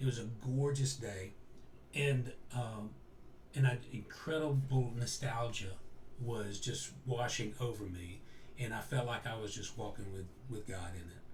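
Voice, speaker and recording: This man's voice is medium in pitch and somewhat breathy, with ordinary pitch variation at a fairly slow pace. Audible room echo surrounds it. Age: 60s. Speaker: interview guest. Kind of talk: personal storytelling in an interview. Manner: halting, with frequent self-corrections.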